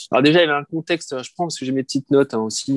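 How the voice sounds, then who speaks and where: A man's fairly high voice, ordinary pitch variation, and a dry, close sound with no echo. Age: 40s. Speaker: nursing home director. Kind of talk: interview. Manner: halting, many repetitions and fillers.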